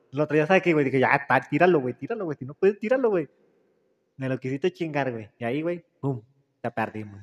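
A man talks at a very fast pace in a fairly high pitch with lively intonation. The sound is dry and close, with no echo. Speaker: podcast host. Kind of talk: casual chat. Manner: relaxing.

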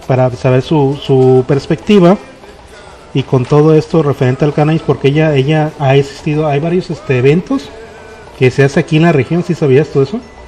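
A man's fairly high voice with a Mexican accent, at a fairly quick pace with ordinary pitch variation, over noticeable background noise. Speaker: podcast host. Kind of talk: casual chat.

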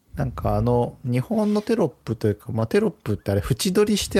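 On a very clean recording with a silent background and a dry, close sound with no echo, a man of medium pitch speaks at a fairly quick pace in a dark, mellow, somewhat breathy tone with very wide pitch swings. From Japan, Hiroshima. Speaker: podcast co-host. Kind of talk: casual chat.

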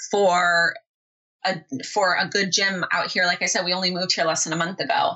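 A woman talks at a moderate pace in a Californian accent. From Southern California. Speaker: online business mentor. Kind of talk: interview.

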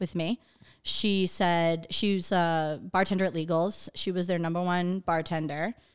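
At a fairly slow pace, a woman with a medium pitch uses an ordinary speaking voice. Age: 30s. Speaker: real estate agent. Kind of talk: casual chat.

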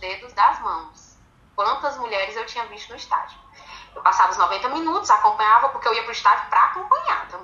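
Bright and sharp in tone, a woman talks at a fairly quick pace with very wide pitch swings. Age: 30s. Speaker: women's football supporters' group president. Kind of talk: interview.

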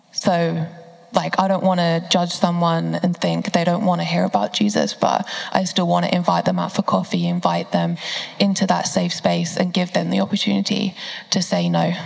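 Noticeable background noise behind a woman's moderately paced voice. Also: very even loudness. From southern England, Bedfordshire. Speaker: university student. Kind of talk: panel discussion. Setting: church service.

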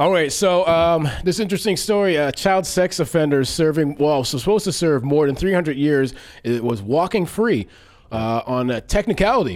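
With lively intonation, a man speaks in an ordinary speaking voice at a moderate pace and a fairly high pitch. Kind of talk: casual chat.

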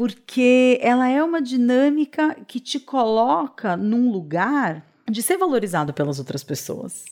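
A woman's high-pitched voice at a fairly slow pace, with very wide pitch swings and hardly any pauses. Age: 30s. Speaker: podcast host. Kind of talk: personal reflective monologue.

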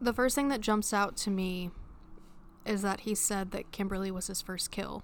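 A woman with a plain, everyday voice speaks at a moderate pace and medium pitch, her intonation fairly even. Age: 20s. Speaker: education student. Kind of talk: casual chat.

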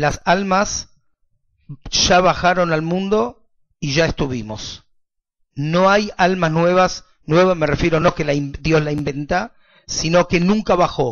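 The speaker goes at a very slow pace, with long, frequent pauses and ordinary pitch variation. The voice carries a Rioplatense accent. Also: man, high pitch for a man. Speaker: rabbi. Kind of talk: lecture.

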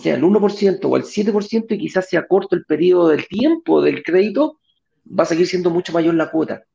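This man has a high voice with a dark, mellow tone and ordinary pitch variation. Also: moderate pace. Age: 40s. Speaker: real estate investment show host. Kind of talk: live stream talk show. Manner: halting with many repetitions.

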